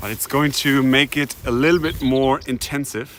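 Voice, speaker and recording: A man with a German accent, fairly high in pitch and fairly slow in pace, with noticeable background noise. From Germany, Hamburg. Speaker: streamer. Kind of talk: live stream commentary while hiking. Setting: outdoors, walking.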